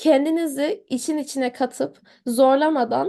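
Against a quiet background, a woman talks with high pitch and a dark, mellow tone. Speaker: medical student. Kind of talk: interview.

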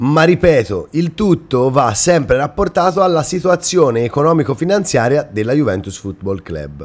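With an animated tone and very wide pitch swings, a man speaks at a moderate pace in a fairly high voice. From Italy, Romagna (Rimini), later Tuscany; Romagna, Italy. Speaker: football YouTuber. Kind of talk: casual monologue to viewers. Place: home room. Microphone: webcam.

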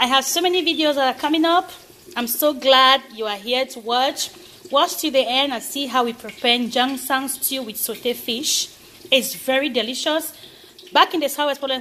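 A woman uses a raised, projected voice at a moderate pace, with light background noise behind her. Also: ordinary pitch variation. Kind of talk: cooking tutorial. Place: kitchen. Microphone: phone near.

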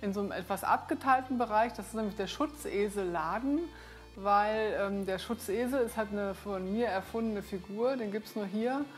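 Faint music plays in the background. The speech moves at a moderate pace with ordinary pitch variation. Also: woman. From Unna, North Rhine-Westphalia, Germany; North Rhine-Westphalia, Germany. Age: 50s. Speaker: visual artist. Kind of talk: casual studio tour talk to camera. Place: shop.

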